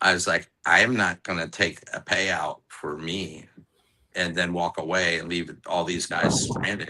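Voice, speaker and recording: In an American accent, a man with a very deep, low pitch talks in a bright, sharp tone with monotone, flat intonation. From Orlando, Florida. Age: 60s. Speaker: cigar maker. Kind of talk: casual chat.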